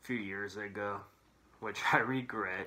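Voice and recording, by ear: Fairly low pitch from a man, a bright, sharp tone, fairly even intonation and a fairly slow pace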